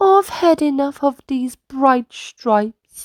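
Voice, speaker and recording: In a put-on character voice, a woman speaks very slowly at a high pitch. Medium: read story. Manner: gentle.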